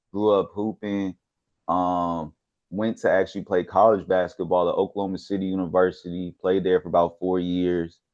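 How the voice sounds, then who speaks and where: Moderate pace, monotone, flat intonation and a slight Houston accent. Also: man, very deep, low pitch for a man. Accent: slight Houston Texas. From Texas, Houston. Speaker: sports researcher. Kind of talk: casual chat.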